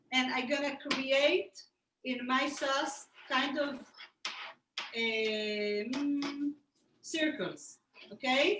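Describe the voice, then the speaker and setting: A woman speaks at a very slow pace with long, frequent pauses, her voice high-pitched and bright, sharp in tone. She has a non-native accent and ordinary pitch variation. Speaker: cooking instructor. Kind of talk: cooking tutorial. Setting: video call.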